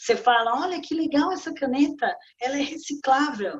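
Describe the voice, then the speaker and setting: Using a high voice with lively intonation, a woman speaks at a fairly slow pace. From Brazil, São Paulo. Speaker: business consultant and author. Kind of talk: interview. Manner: animated.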